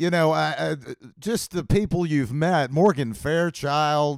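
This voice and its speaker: An unremarkable speaking voice from a man, fairly high in pitch, in a very clean recording with a silent background. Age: 40s. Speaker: podcast host. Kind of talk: casual chat.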